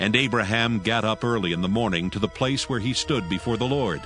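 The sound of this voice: Clear background music and ordinary variation in pitch. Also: man.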